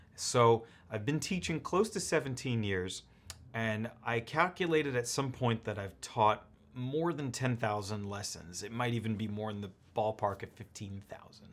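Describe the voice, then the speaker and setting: A man with an unremarkable speaking voice at a medium pitch. He talks at a moderate pace with lively intonation. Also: big swings in loudness. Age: 30s. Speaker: piano teacher. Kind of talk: tutorial.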